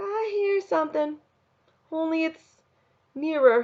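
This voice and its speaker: A put-on character voice, soft-spoken and squeaky with a high pitch, acts out an Appalachian accent. It moves at a fairly slow pace. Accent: rural Appalachian dialect. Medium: read story.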